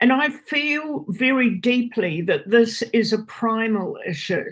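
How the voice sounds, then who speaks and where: At a very slow pace, a woman uses lively intonation in a fairly high, somewhat breathy voice. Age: 80s+. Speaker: social and political gerontologist. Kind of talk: public hearing submission. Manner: halting, many fillers.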